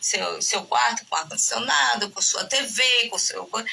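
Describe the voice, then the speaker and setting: Speaking fairly slowly, a woman comes through over noticeable background noise. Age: 60s. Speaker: gerontologist and professor. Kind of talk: podcast interview. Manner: halting, many fillers and restarts.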